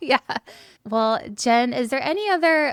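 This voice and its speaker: Captured in a very clean recording with a silent background, a woman talks at a moderate pace with ordinary pitch variation. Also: dry, close sound with no echo. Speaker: podcast host. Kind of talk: casual chat.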